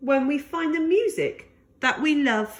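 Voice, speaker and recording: High-pitched and at a fairly slow pace, a woman puts on a character voice. Her pitch swings are very wide. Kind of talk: bedtime story. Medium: read story.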